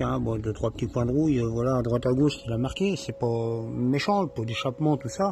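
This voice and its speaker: The man's delivery is very fast. He varies his pitch in an ordinary way. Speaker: amateur mechanic. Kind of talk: casual tutorial. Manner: halting.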